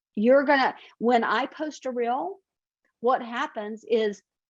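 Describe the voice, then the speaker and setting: This woman's voice is high-pitched, with a Southern US accent. Her intonation is lively. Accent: Southern American. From US South. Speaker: marketing consultant. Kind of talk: webinar presentation.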